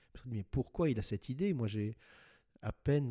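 With a dark, mellow tone and a somewhat breathy quality, a man speaks at a moderate pace. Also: dry, close sound with no echo, very clean recording, silent background. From France, Paris. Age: 60s. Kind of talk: interview. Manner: halting, repeats words.

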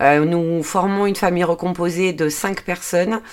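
A woman's fairly low voice keeps a fairly even intonation. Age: 40s. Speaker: podcaster and budgeting/personal development YouTuber. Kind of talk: solo podcast monologue. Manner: hesitant, many fillers.

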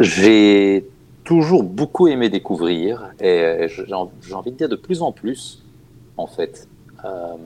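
Very slowly, a man speaks at a fairly low pitch in a dark, mellow tone, with lively intonation, big swings in loudness and long, frequent pauses. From Germany. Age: 40s. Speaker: opera singer and board game designer. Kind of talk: casual interview. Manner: halting.

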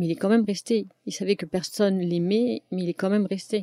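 Pitch variation in the woman's voice is ordinary. She keeps a moderate pace. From France. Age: 40s. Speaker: domestic violence survivor. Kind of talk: testimony. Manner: halting.

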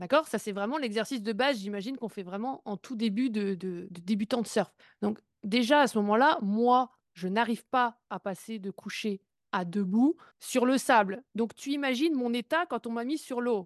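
A plain, everyday voice moves at a moderate pace with ordinary pitch variation. The sound is dry and close with no echo, and the background is quiet. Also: woman, fairly high pitch for a woman. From Brittany, France. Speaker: podcast host. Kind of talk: interview podcast.

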